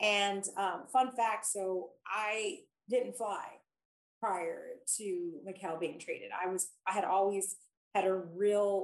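This is an unremarkable speaking voice with fairly even intonation. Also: woman. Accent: American. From Philadelphia, US. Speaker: mother of a pro basketball player. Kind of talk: podcast interview.

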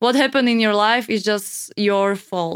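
With a Slovak accent, a woman speaks at a very slow pace and medium pitch. Her intonation is monotone and flat, and the sound is dry and close with no echo. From Slovakia. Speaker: model and content creator. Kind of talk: casual chat. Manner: halting.

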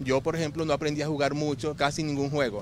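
A man at a fairly quick pace and fairly high pitch, with music in the background. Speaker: real estate advisor with Asperger's. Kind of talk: interview testimony.

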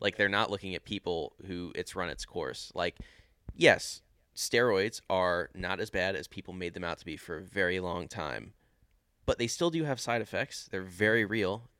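On a very clean recording with a silent background, a man with a fairly low pitch and a bright, sharp tone talks at a moderate pace, with ordinary pitch variation and big swings in loudness. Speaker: lifter guest. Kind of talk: casual chat. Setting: basement studio with microphone.

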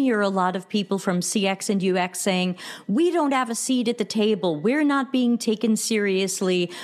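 A woman speaks with a US East Coast accent at a fairly high pitch. Her intonation is lively and her pace moderate. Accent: US East Coast American. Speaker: customer experience consultant. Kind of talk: interview.

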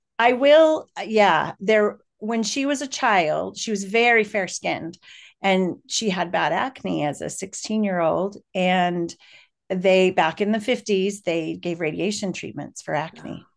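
A woman's medium-pitched voice with lively intonation at a fairly slow pace, against a quiet background. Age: 50s. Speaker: daughter of an ALS patient. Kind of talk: personal testimony. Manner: hesitant, many fillers.

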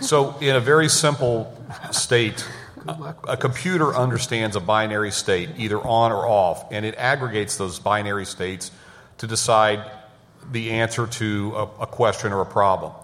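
A man's medium-pitched voice at a moderate pace, ordinary pitch variation, noticeable background noise and audible room echo. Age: 50s. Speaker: technology executive. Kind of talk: conference panel talk.

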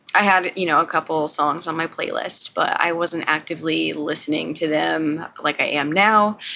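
The speaker is a woman with an American accent. She keeps a moderate pace with hardly any pauses. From US South, Georgia. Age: 20s. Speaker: veterinary technician and film student. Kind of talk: casual chat. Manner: hesitant, many fillers.

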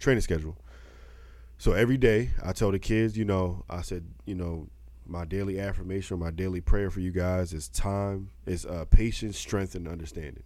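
Amid audible room echo, a man with a very deep, low pitch and a dark, mellow tone speaks at a moderate pace, with ordinary pitch variation and big swings in loudness. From Baltimore. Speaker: podcast co-host. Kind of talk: casual chat.

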